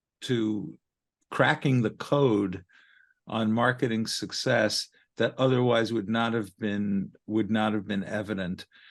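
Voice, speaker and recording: Speaking very slowly in a Brooklyn accent, a man uses a medium pitch and fairly even intonation. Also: quiet background. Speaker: marketing and research consultant. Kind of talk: podcast interview.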